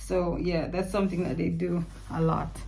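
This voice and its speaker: A woman speaks in a somewhat breathy voice with audible room echo. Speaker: vlogger and English teacher abroad. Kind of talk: casual vlog monologue. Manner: animated.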